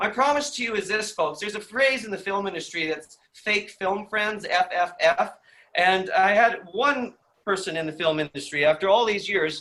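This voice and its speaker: A high-pitched male voice with lively intonation, a bright, sharp tone and a raised, projected delivery. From Canadian Prairies, Saskatchewan. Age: 50s. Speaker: film industry trainer. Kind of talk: online seminar presentation. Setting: video call from home living room. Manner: fast; enthusiastic.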